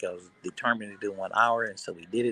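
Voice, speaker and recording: The sound is dry and close with no echo, though noticeable background noise comes through. A man talks at a medium pitch and a fairly quick pace. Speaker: sports livestream host. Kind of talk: casual livestream chat. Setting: airport. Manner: loud.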